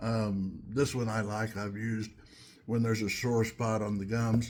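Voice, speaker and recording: This man's voice is somewhat breathy and medium in pitch, delivered at a moderate pace. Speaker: home cook, video creator. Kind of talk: casual talk to camera.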